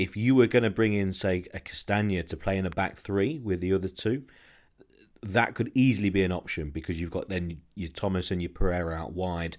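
A man with an English accent and a very deep, low pitch, on a very clean recording with a silent background. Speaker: football podcast host. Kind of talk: casual chat.

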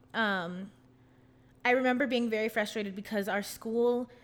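With ordinary pitch variation, a plain, everyday voice keeps a moderate pace. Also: woman. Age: 20s. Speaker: musical theater student and podcast host. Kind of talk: casual interview.

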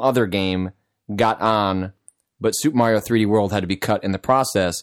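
A man with a normal speaking voice and a fairly low pitch talks at a moderate pace with ordinary pitch variation, recorded very cleanly with a silent background and a dry, close sound with no echo. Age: 30s. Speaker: game journalist. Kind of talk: casual chat.

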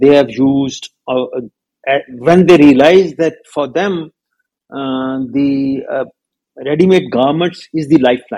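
A man speaks at a fairly high pitch and a very slow pace. His tone is dark and mellow, with ordinary pitch variation. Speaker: textile business founder. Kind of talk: interview. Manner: halting.

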